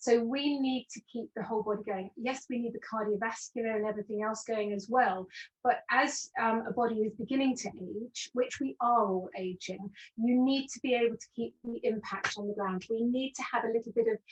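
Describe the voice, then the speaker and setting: Talking at a fairly quick pace with hardly any pauses, a woman with a fairly high, somewhat breathy voice uses ordinary pitch variation in a dry, close sound with no echo. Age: 60s. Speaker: postural alignment specialist. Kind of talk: webinar interview.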